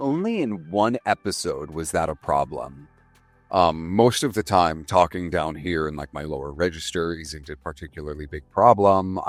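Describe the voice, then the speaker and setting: A man's put-on character voice, very deep and gravelly, at a moderate pace with big swings in loudness and faint music in the background. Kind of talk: low register.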